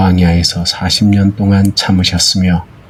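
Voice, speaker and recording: Very slow and monotone with flat intonation, a man's fairly low voice comes through noticeable background noise. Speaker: Bible reader. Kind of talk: Bible reading for sleep. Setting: rain and thunder sound background.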